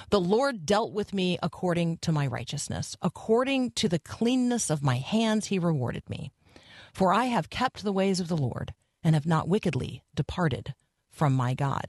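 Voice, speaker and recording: Somewhat breathy speech at a moderate pace with very wide pitch swings, dry and close with no echo, over a quiet background. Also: woman. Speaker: radio host. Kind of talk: live morning radio show with interviews. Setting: radio studio. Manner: warm, chatty, upbeat.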